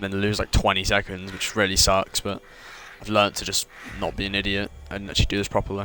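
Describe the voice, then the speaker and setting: Someone with a British accent talks very fast over noticeable background noise. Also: man. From Britain. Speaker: gaming streamer, speedrunner. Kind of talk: live gameplay commentary. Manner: casual, halting with repetitions.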